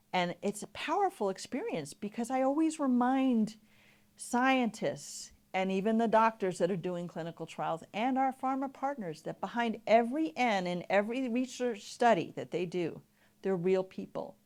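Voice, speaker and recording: With an American accent and an unremarkable speaking voice, a woman talks at a moderate pace in a fairly high pitch with lively intonation, recorded very cleanly against a silent background. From New York. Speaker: patient advocacy educator. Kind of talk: conference presentation. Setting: stage with audience.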